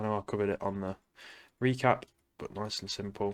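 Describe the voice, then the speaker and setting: A man with an English accent speaks quietly at a fairly low pitch. The recording is very clean, with a silent background. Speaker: day trader. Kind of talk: trading recap. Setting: at home, late at night.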